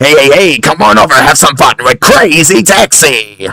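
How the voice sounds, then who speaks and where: Using a put-on character voice with a fairly high pitch, a man talks at a moderate pace with very even loudness in a dry, close sound with no echo. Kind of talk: casual, catchphrase-like. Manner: hyped, pushy, enthusiastic.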